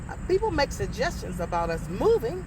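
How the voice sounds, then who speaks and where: A woman with an American accent talks at a fairly quick pace, with noticeable background noise and audible room echo. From Clairton, Pennsylvania. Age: 60s. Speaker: community resident. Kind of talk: documentary interview.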